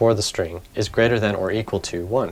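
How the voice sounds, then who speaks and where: Music plays in the background as a man speaks at a fairly quick pace. His fairly low pitch shows ordinary variation. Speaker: programming learner / tutorial maker. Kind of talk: casual coding tutorial talk. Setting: home recording with background hiss.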